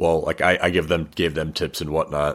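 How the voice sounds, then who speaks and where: A man speaks in a very deep, low pitch. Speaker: podcaster. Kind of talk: casual interview chat.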